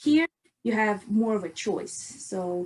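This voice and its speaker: Talking at a very slow pace in a Russian accent, a woman keeps her intonation lively. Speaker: chemical engineering student and researcher. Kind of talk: podcast interview.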